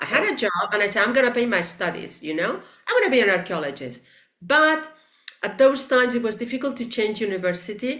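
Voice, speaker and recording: Audible room echo surrounds a woman talking at a fairly quick pace. Her fairly high pitch swings very widely. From Spain, Barcelona (Catalonia). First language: Catalan and Spanish. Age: 60s. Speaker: teacher and sculptor. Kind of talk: interview conversation.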